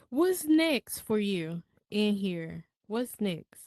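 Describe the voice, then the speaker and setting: The speaker has a Southern US accent. The background is quiet. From US South, Mississippi. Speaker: podcast host. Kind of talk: interview. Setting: virtual reality space.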